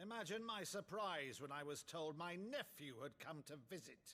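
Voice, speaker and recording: A put-on character voice with lively intonation at a moderate pace. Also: man, fairly high pitch for a man. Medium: video game. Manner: cold, imperious.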